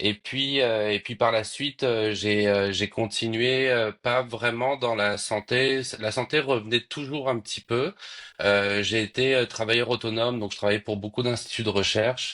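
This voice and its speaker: A man talks at a fairly slow pace with medium pitch and fairly even intonation. His tone is bright and sharp against a quiet background. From France. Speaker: economist. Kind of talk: interview. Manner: hesitant, many fillers.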